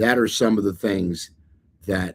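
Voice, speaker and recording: A man's fairly low voice, dark and mellow, at a fairly slow pace with fairly even intonation. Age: 70s. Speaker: retiree YouTuber giving money tips. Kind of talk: casual talking-head advice video. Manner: halting with many fillers.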